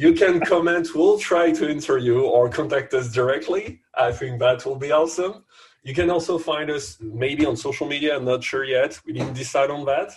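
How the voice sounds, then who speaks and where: This man talks with a French accent and a fairly high pitch. He uses ordinary pitch variation and hardly any pauses. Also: moderate pace. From France. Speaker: podcast co-host. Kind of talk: casual chat.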